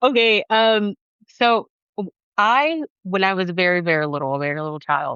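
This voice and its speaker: A woman at a medium pitch with an American accent, very wide pitch swings and a moderate pace. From US South, Atlanta, Georgia. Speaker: podcast guest, co-host of another podcast. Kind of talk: casual chat.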